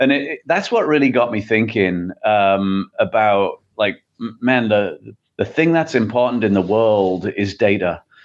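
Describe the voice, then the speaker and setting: A man with an English accent at medium pitch, speaking at a fairly slow pace with hardly any pauses and ordinary pitch variation. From England. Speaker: tech company CEO. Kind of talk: interview.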